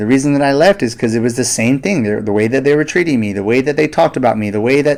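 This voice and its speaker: A man talks very fast in an animated tone, his pitch medium and its variation ordinary. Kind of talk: monologue. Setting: studio. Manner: loud.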